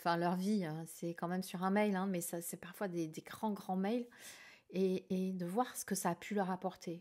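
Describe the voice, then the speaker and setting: The pace is fairly slow. It is a very clean recording with a silent background. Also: woman. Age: 60s. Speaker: tarot and akashic reading youtuber and trainer. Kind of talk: casual vlog Q&A monologue. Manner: hesitant, many fillers and repetitions.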